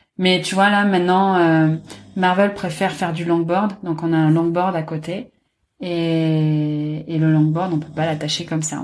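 Speaking at a fairly slow pace, a woman has an unremarkable speaking voice with fairly low pitch and fairly even intonation. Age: 30s. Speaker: graphic designer, dog owner. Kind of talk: casual interview.

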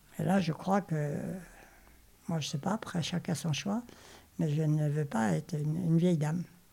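A woman speaks at a moderate pace with long, frequent pauses, her pitch very deep and low with ordinary variation. Her tone is dark and mellow and somewhat breathy. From Normandy, France. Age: 80s+. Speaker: retiree and volunteer. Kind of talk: interview testimony. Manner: halting.

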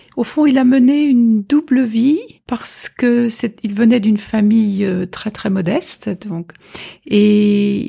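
Her voice is medium in pitch, with a dark, mellow tone. The woman sounds somewhat breathy and speaks at a very slow pace. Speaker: orchestra conductor. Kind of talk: interview. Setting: at the host's home. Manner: halting.

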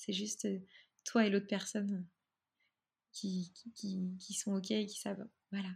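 A woman's somewhat breathy, medium-pitched voice with monotone, flat intonation and long, frequent pauses. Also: fairly slow pace, very clean recording, silent background. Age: 30s. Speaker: photographer and astrologer. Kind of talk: interview.

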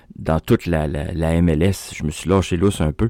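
A man speaks. His pace is fairly slow. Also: dry, close sound with no echo. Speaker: soccer radio host. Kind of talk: daily sports radio show. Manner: casual, hesitant with fillers.

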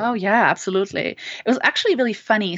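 This speaker has a German accent and lively intonation. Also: woman. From Germany. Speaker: author. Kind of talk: interview. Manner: hesitant, many fillers.

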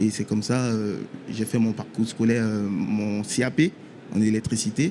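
A man's medium-pitched voice with a dark, mellow tone, a moderate pace and fairly even intonation. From Ivory Coast. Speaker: electrician apprentice. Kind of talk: radio interview. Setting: trade show floor.

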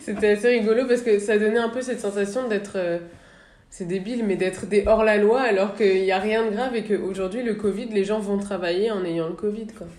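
With audible room echo, a medium-pitched woman speaks at a fairly quick pace and with fairly even intonation. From northern France, Le Havre. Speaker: podcast host. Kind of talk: interview.

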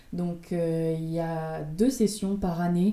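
Her intonation is fairly even, and her pitch is fairly low. This woman's tone is dark and mellow. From France, Rouen. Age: 20s. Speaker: pharmacist. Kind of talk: interview.

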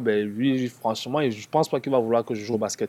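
Intonation stays fairly even as a man speaks at a medium pitch. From Cameroon (Yaoundé). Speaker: former basketball player. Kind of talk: casual interview.

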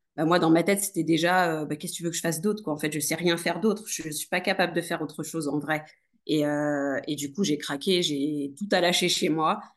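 Fairly quick, fairly even-toned speech from a woman with a fairly low pitch, against a quiet background. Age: 30s. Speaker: nurse turned entrepreneur. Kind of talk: casual interview. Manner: hesitant, many fillers.

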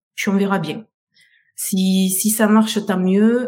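A woman speaks in an ordinary speaking voice. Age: 50s. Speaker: beauty salon owner. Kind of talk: testimony.

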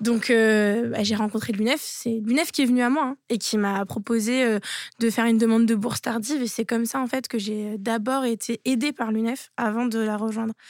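A woman with an ordinary speaking voice talks at a moderate pace and a fairly high pitch, her intonation fairly even. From France, Toulouse. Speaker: former student union president. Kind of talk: interview.

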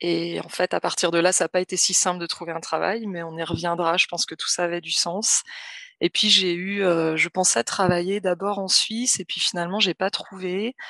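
A woman with a bright, sharp tone and fairly low pitch speaks at a moderate pace with fairly even intonation, the sound dry and close with no echo. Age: 30s. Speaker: social worker recovering from burnout. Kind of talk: personal testimony in interview. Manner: halting, many hesitations.

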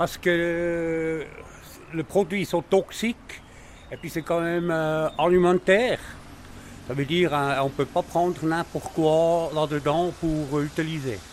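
The man's pitch is high and his intonation fairly even. He talks at a very slow pace with long, frequent pauses. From German-speaking Switzerland. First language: Swiss German (speaking French). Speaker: cooper. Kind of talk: interview. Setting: workshop.

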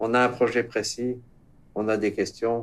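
A man delivers his words with fairly even intonation and a fairly slow pace. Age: 60s. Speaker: teacher and former dairy farmer. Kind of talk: interview.

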